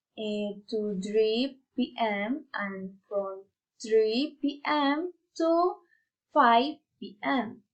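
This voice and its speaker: Speaking in a Spanish accent, a woman talks at a very slow pace. Her pitch is fairly high and her intonation lively. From Colombia, Putumayo. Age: 20s. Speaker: university student. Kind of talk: prepared monologue for class. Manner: halting.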